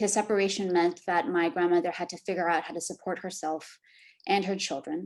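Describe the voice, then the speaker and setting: Delivered at a fairly quick pace in a Californian accent, the speech has big swings in loudness. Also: woman. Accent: Californian American English. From US, San Francisco Bay Area. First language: Korean. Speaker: academic panelist. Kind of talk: prepared talk read aloud.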